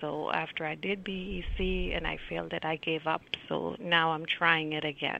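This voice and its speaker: This woman's very deep, low pitch carries vocal fry and a monotone, flat intonation. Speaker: caller, exam candidate. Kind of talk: call-in chat. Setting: phone call.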